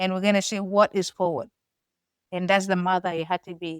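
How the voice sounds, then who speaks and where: A woman with a Sudanese accent talks at a moderate pace. The sound is dry and close, with no echo. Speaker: podcast co-host, foster mother. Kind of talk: casual chat.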